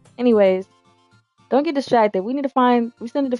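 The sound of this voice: Over music in the background, a woman does a strained put-on character voice at a high pitch and a very fast pace.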